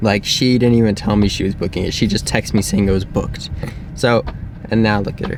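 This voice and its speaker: Speaking very fast with fairly even intonation, a man with a fairly low pitch comes through over noticeable background noise. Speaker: vlogger. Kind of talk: casual chat. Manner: calm.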